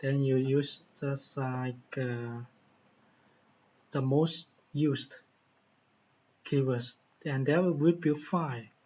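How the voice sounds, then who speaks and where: Pausing long and often, a man with a Chinese accent speaks at a very slow pace in a fairly high, somewhat breathy voice with fairly even intonation. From China. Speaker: tech tutorial YouTuber. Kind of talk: tutorial. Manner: halting, many fillers and repetitions.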